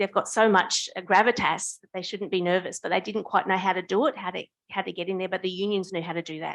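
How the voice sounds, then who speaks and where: With an Australian accent, a woman speaks very fast at a medium pitch and with fairly even intonation, against a quiet background. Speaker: union official and novice researcher. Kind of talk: audience comment at academic forum. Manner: halting, with many false starts.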